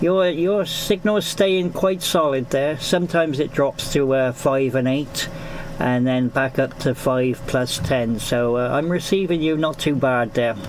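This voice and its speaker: In a Gloucestershire accent, a man talks at a fairly slow pace and a fairly high pitch, with ordinary pitch variation, very even loudness and noticeable background noise. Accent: Gloucestershire, Forest of Dean. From Gloucestershire, England (Newent). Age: 50s. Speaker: amateur radio operator. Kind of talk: ham radio contact. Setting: amateur radio transmission. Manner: hesitant, many fillers.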